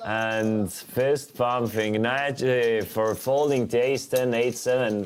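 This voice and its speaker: This speaker has an Estonian accent and a very slow pace with hardly any pauses. The intonation is fairly even, and the loudness stays very even throughout. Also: man, medium pitch for a man. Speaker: poker commentator. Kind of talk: live commentary. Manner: casual, conversational.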